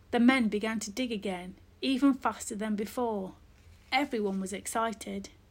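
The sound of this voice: This is an unforced reading voice. Its pitch varies an ordinary amount.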